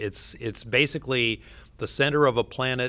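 A man with an American accent speaks at a moderate pace in a plain, everyday voice, medium in pitch with ordinary pitch variation, on a very clean recording with a silent background. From US Pacific Northwest, southwestern Washington. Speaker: astronaut and physician. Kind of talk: interview.

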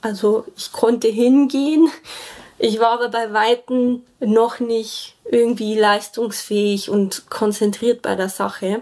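Over noticeable background noise, a woman with a fairly high pitch talks at a very slow pace using fairly even intonation. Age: 30s. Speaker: sustainable building engineer sharing vaccine injury story. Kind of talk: personal testimony.

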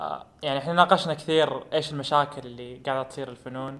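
Here a man speaks at a fairly high pitch, moderate pace and fairly even intonation. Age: young. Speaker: podcast co-host, engineering student. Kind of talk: casual interview. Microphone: poor recording quality.

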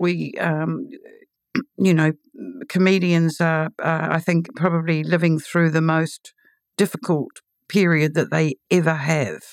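With a New Zealand accent, a woman speaks in a fairly low pitch at a fairly slow pace, leaving long, frequent pauses, her loudness very even and the sound dry and close with no echo. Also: ordinary pitch variation. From New Zealand, Auckland. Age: 60s. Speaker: novelist and literary critic. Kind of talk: interview. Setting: studio.

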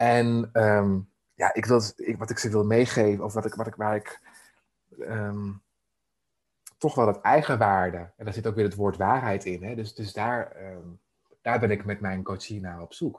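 A man talks at a fairly slow pace in a fairly low voice, with fairly even intonation. The background is quiet. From Netherlands, Emmeloord (Noordoostpolder). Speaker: life coach. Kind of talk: interview conversation. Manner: halting, many fillers.

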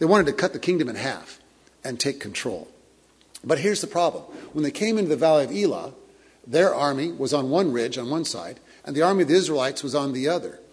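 A man with a fairly high pitch talks very fast, his intonation lively, with audible room echo around him. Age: 50s. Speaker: pastor. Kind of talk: sermon. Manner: halting.

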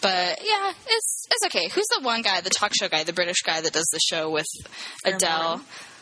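A woman talks fairly quickly while background noise remains noticeable. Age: 20s. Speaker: podcast co-host. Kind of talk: casual chat.

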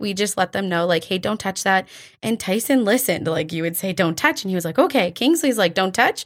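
Very fast and with lively intonation, a woman speaks in a Canadian accent at a medium pitch. The recording is very clean, with a silent background. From Alberta, Canada (Drayton Valley). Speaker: church children's coordinator. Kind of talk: casual interview. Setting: studio.

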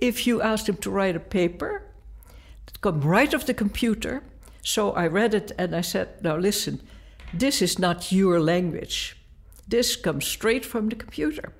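With a Dutch accent, a woman speaks at a fairly slow pace and a medium pitch. Her intonation is lively. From Netherlands. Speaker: art professor. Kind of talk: interview.

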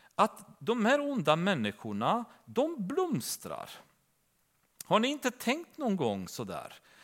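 A man is speaking. The recording is very clean, and the background is silent. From Romania. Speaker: bible teacher. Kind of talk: bible study teaching. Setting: church.

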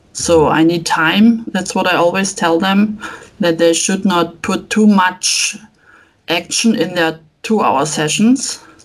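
The speaker talks at a very slow pace with an ordinary amount of pitch variation. The voice carries a German accent. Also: woman, medium pitch for a woman. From Germany. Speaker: family photographer. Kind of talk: interview answers. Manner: halting.

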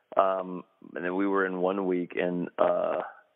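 This is a man speaking. He has a North Carolina accent. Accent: US Southern (North Carolina). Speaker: actor. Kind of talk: interview. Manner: halting, many fillers.

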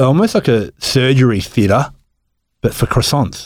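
With an Australian accent and lively intonation, a man speaks at medium pitch on a very clean recording with a silent background. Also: moderate pace. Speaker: cafe owner, podcast guest.

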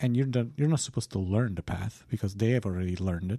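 Over a very clean recording with a silent background, a man speaks with a dark, mellow, somewhat breathy tone, at medium pitch with ordinary pitch variation. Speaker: philosophy podcast co-host. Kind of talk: casual chat. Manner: halting.

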